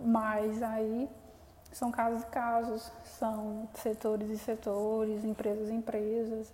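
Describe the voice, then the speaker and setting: Noticeable background noise sits behind a woman with a fairly high pitch. She talks at a very slow pace with monotone, flat intonation. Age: 20s. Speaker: podcast host, young entrepreneur. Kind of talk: solo podcast monologue. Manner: hesitant, many fillers.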